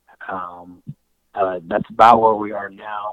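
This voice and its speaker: A fairly low-pitched man with an American accent, flat and monotone in intonation. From Colorado. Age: 20s. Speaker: cattle rancher. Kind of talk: casual interview.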